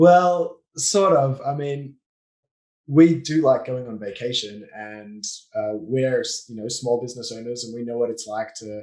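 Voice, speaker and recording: With an Australian accent, a man speaks fairly slowly at a medium pitch, using ordinary pitch variation and big swings in loudness. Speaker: business owner, offshoring and systems consultant. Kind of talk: podcast interview.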